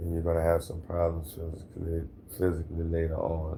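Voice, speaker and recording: Calm and somewhat breathy, a man with a very deep, low pitch and a dark, mellow tone speaks fairly slowly in an American accent, with audible room echo. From Louisiana, New Orleans area. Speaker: hurricane survivor, former Marine. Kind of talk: interview testimony.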